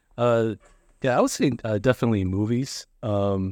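A man with a fairly low pitch and a fairly quick pace. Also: very clean recording, silent background. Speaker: podcaster. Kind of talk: casual interview chat. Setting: in-person at a school.

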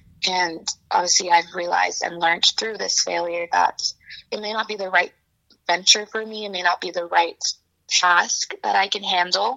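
At a moderate pace, a woman with a medium-pitched voice speaks with fairly even intonation and vocal fry. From Hong Kong and Beijing, moved to US at 13. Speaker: business student and reseller. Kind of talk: interview conversation.

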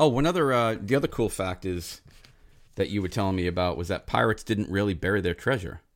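On a very clean recording with a silent background, a man with a very deep, low pitch and vocal fry speaks at a very fast pace with lively intonation. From Rhode Island. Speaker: podcast host. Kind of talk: casual chat. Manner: rambling, joking.

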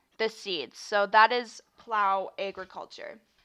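Against a quiet background, a woman with a Canadian accent speaks at a fairly slow pace in a bright, sharp tone at a fairly high pitch. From Canada. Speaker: podcast host. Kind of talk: casual monologue.

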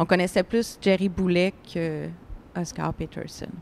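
Fairly even intonation in a plain, everyday voice. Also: woman. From Montreal, Little Burgundy. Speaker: first-time novelist, film technician. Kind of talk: panel discussion. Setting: live-streamed panel at book fair.

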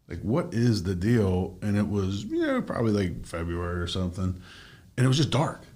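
A man speaks at a fairly low pitch with a dark, mellow tone and ordinary pitch variation, moving at a fairly quick pace. Audible room echo surrounds his voice. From Maine, Bangor. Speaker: podcast host and real estate agent. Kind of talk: casual interview chat.

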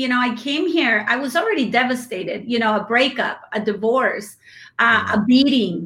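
A woman with a Spanish accent speaks in a high pitch with a bright, sharp tone. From Mexico. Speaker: business owner. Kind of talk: casual interview chat. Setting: video call, live stream.

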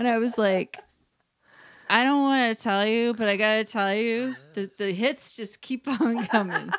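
A woman speaks in an ordinary speaking voice at a fairly high pitch. She talks at a fairly slow pace with fairly even intonation. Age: 40s. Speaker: podcast co-host. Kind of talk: casual chat. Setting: in a home, recording together in person.

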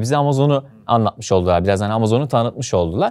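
A man talks at a very fast pace. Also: quiet background. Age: 20s. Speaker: e-commerce entrepreneur and online course instructor. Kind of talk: interview conversation.

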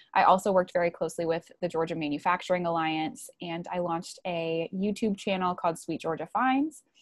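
With an American accent and a plain, everyday voice, a woman talks at a fairly quick pace and fairly low pitch, with hardly any pauses. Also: ordinary pitch variation. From US Midwest, Wisconsin near Milwaukee. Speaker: marketing and PR professional. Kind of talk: interview.

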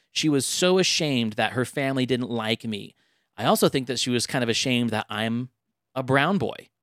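A man with a normal speaking voice at medium pitch, ordinary pitch variation and a fairly quick pace, in a dry, close, very clean recording with no echo and a silent background. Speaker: podcast host. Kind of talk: casual chat about dating and relationships.

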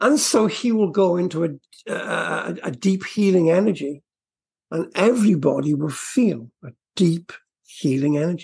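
This man's voice has vocal fry, a husky, rough edge and a slightly mellow tone. His pitch is fairly high, with ordinary variation, and he speaks at a fairly slow pace.

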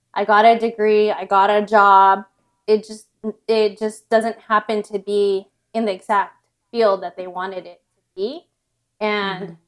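Speaking with an American accent, a woman uses monotone, flat intonation at a fairly slow pace. Her loudness swings widely. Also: medium pitch for a woman. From Southern California. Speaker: entrepreneur, co-founder and author. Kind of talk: interview conversation.

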